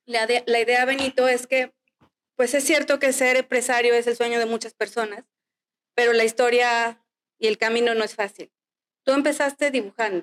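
A high-pitched woman's voice at a moderate pace, with long, frequent pauses, fairly even intonation, very even loudness and a dry, close sound with no echo. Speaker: podcast host. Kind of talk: interview.

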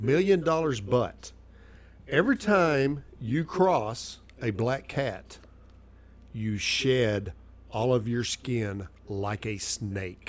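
At a very slow pace with long, frequent pauses, a man with a Southern US accent speaks at a medium pitch and with lively intonation. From Arkansas. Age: 50s. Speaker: cigar shop worker. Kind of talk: casual chat.

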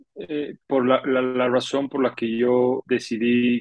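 It is a normal speaking voice, its intonation staying fairly level. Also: man. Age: 30s. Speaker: podcast co-host. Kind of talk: casual chat.

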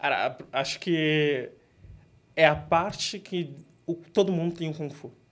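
In a very clean recording with a silent background, a man speaks at a high pitch and a very slow pace, with fairly even intonation, big swings in loudness, and long, frequent pauses. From São Paulo, Grajaú. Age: 20s. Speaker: product manager and martial artist. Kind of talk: interview.

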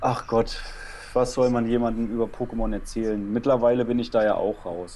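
This man has a medium pitch and a plain, everyday voice, and he speaks at a moderate pace. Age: 20s. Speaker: former video game podcaster. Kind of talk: casual chat.

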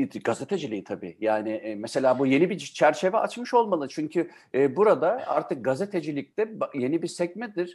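Talking at a fairly quick pace, a man with a fairly high pitch makes very wide pitch swings. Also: quiet background. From Germany-born, Turkish family. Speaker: radio host. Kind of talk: casual interview.

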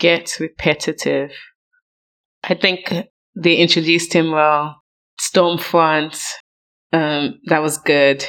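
A woman with a very deep, low pitch, flat monotone intonation and very even loudness, at a very slow pace with long, frequent pauses, on a very clean recording with a silent background. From Nigeria. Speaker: podcast guest co-reviewer. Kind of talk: casual chat.

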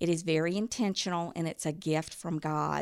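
On a very clean recording with a silent background, a woman speaks at a moderate pace in a fairly low voice. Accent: Alabama. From US South, southern Alabama near Mobile. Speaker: mother and reading educator. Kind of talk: podcast interview.

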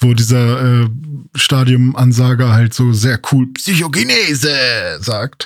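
The man's pitch is medium and his intonation fairly even. He speaks at a very slow pace. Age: 30s. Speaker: podcast co-host. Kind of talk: casual chat. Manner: hesitant with many fillers.

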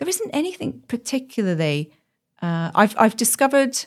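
Very wide pitch swings at a moderate pace, on a very clean recording with a silent background. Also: woman. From Birmingham, England. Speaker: professional coach. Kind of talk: casual interview.

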